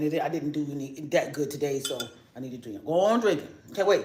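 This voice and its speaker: A man with an American accent talks very fast at a fairly high pitch with ordinary pitch variation. Noticeable background noise and audible room echo are present. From New York. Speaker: YouTuber. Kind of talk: casual live stream chat. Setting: home kitchen. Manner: rambling, fast.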